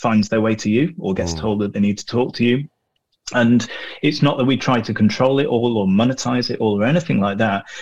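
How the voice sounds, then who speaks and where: A man with a northern English accent talks at a medium pitch. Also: ordinary pitch variation, fairly quick pace. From northern England. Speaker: hospitality media professional. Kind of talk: casual interview chat.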